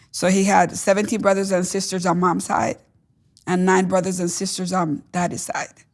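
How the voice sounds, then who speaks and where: Speaking with a Spanish accent at a medium pitch, a woman keeps a monotone, flat intonation on a very clean recording with a silent background. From Caribbean island, Spanish-speaking. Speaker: testimony guest. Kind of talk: testimony interview. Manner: halting, frequent fillers.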